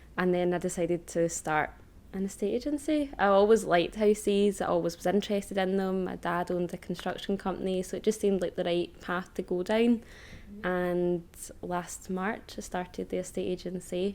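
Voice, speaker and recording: A woman with a Lanarkshire accent, medium pitch, ordinary pitch variation and a fairly quick pace. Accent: Scottish (Lanarkshire). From Scotland, Hamilton (South Lanarkshire). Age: 20s. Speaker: estate agent. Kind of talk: podcast interview.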